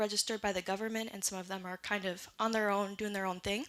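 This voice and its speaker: In a strong Canadian accent, a woman speaks at a fairly high pitch in a bright, sharp tone and flat monotone, on a very clean recording with a silent background. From Great Lakes region, Canada side (Anishinaabe community). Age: 20s. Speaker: robotics designer and education charity founder. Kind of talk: conference talk. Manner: casual, with frequent fillers.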